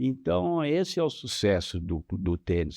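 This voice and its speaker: A man's dark, mellow voice with very wide pitch swings against a quiet background. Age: 70s. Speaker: tennis coach. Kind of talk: interview. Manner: halting.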